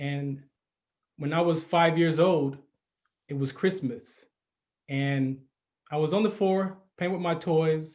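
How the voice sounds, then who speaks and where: Long, frequent pauses break up a man's very slow speech, which is fairly high in pitch with ordinary variation. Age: 50s. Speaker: podcast host, retired army sergeant. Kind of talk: personal storytelling monologue.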